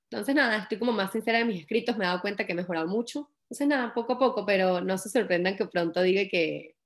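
A woman talks at a very fast pace with hardly any pauses. Her pitch is medium. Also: ordinary pitch variation. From Venezuela, Valera (Trujillo state). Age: 20s. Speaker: young author. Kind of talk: interview.

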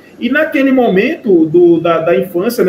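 A man talks at a moderate pace with lively intonation over noticeable background noise. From Pernambuco interior, Brazil. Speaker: professor and Santa Cruz fan. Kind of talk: casual interview chat.

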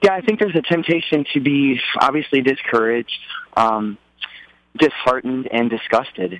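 Lively in intonation, a man talks with an American accent. His pitch is medium and his pace moderate. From Texas, Dallas. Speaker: worship leader and campus minister. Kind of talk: radio interview.

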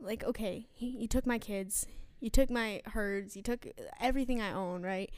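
Speaking with an American accent at a moderate pace, a woman has an unremarkable speaking voice, fairly high pitch and fairly even intonation. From New York. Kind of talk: casual faith chat.

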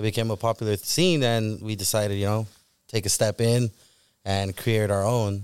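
A man with an American accent speaks at a moderate pace in a plain, everyday voice, pitched fairly low with fairly even intonation. The recording is very clean with a silent background and a dry, close sound with no echo. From Southern California. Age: 20s. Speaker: car meet organizer. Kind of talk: casual chat. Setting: studio.

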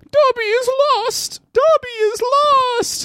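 A put-on character voice pitched extremely high and delivered at a very slow pace.

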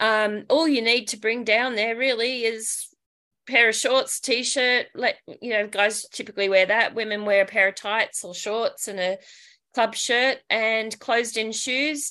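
Bright and sharp in tone, a woman with an Australian accent speaks at a fairly high pitch with fairly even intonation. She goes at a fairly slow pace against a quiet background. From Australia, Sydney northern beaches. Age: 50s. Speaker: dragon boat paddler, reality TV contestant. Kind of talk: casual interview.

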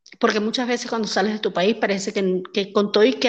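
A woman with an unremarkable speaking voice keeps a fairly even intonation. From Venezuela, Maracaibo. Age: 40s. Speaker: entrepreneur. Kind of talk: interview.

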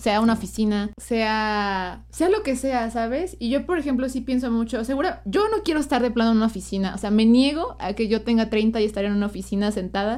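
A woman with a Mexican accent at a fairly high pitch and fairly quick pace, with ordinary pitch variation. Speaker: podcast co-host. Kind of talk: casual chat.

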